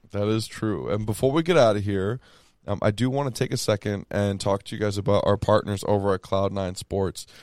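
A man with an unremarkable speaking voice talks at a moderate pace and fairly low pitch, with an American accent. The sound is dry and close with no echo, and the background is quiet. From Texas. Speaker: sports podcast host. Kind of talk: casual chat.

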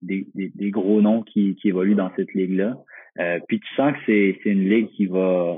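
With a Quebec accent, a man speaks at a fairly slow pace and fairly low pitch, his intonation fairly even. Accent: Québécois French. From Quebec, Magog (Eastern Townships). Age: 20s. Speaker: professional footballer. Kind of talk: interview. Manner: halting, many repetitions and fillers.

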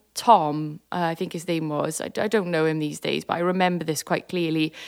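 A woman is speaking. Her pace is moderate. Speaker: electronic music producer and performer. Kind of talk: interview. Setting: remote call from countryside.

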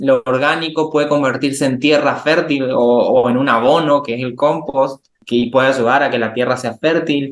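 A man with an unremarkable speaking voice talks at a moderate pace with hardly any pauses. His pitch sits fairly high, and his intonation stays fairly even. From Argentina, Resistencia, Chaco. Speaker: chemical engineer. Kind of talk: interview conversation.

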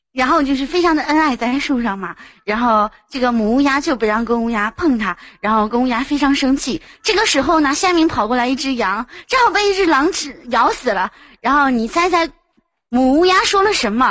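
A woman speaks at a high pitch and a fairly quick pace. Her voice moves through very wide pitch swings. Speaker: caller. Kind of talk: casual chat.

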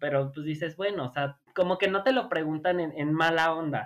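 A man's fairly high voice at a moderate pace. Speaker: podcast guest. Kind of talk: casual chat.

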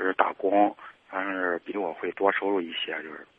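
A man with a fairly low pitch at a moderate pace. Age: 30s. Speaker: caller. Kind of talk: advice call. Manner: halting.

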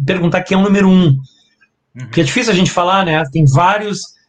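There is audible room echo as a man talks at a very fast pace. His pitch is high, with ordinary pitch variation. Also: very even loudness. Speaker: guitarist. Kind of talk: casual interview chat. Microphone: laptop mic about two hand-spans away.

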